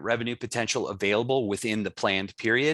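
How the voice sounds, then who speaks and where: Against a quiet background, a man speaks at a very fast pace with a medium pitch and a bright, sharp tone. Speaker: book author presenting. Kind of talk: conference presentation. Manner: fast-paced; hesitant, many fillers.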